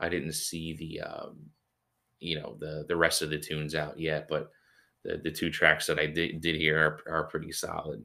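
In a very clean recording with a silent background, a man with an American accent speaks in a very deep, low pitch, with a bright, sharp tone and monotone, flat intonation. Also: moderate pace. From Philadelphia, US. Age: 30s. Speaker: guitarist and podcast host. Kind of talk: casual solo podcast monologue. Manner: laid-back, many filler words.

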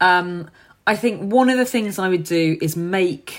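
A woman with a London accent is heard on a very clean recording with a silent background. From London, Hackney. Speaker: charity founder and former teacher. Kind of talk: podcast interview.

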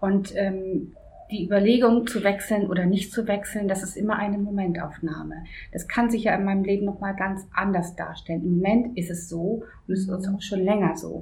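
With audible room echo, a woman speaks at a moderate pace in a medium pitch and fairly even intonation. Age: 50s. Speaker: office assistant. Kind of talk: interview.

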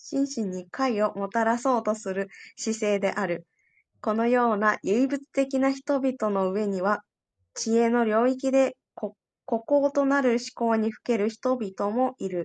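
In a plain, everyday voice, a woman speaks fairly slowly at a fairly high pitch with ordinary pitch variation, the sound dry and close with no echo against a quiet background. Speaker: study group participant. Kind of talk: reading aloud. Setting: online audio room.

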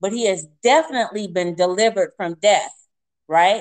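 A woman's medium-pitched voice with ordinary pitch variation, a normal speaking voice. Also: dry, close sound with no echo. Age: 50s. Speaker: minister and speaker. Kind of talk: interview, testimony. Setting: phone call.

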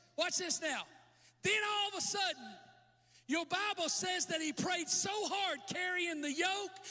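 A man talks in a raised, projected voice with a bright, sharp tone. His delivery is animated but fairly slow. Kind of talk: sermon with altar call, preacher in full flow. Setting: church with live audience. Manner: animated, fervent, exhorting the crowd with call-and-response.

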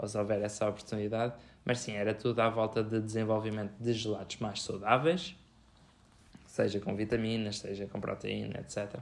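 A man speaks at a moderate pace with fairly low pitch. His intonation is fairly even, in an ordinary speaking voice. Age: 20s. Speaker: podcast co-host, food scientist. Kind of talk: casual chat.

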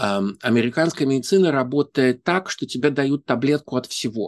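A man with a normal speaking voice at medium pitch, ordinary pitch variation, and a moderate pace, in a dry, close sound with no echo and a quiet background. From Saint Petersburg, Russia. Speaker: interpreter and university lecturer. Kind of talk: interview. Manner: thoughtful, fluent with filler sounds.

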